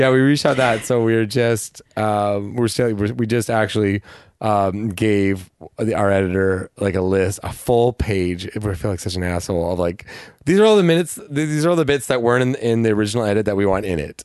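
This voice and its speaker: A man with a fairly low pitch uses an ordinary speaking voice and ordinary pitch variation. He talks at a fairly quick pace against a quiet background. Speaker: actor and comedian. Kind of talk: casual chat.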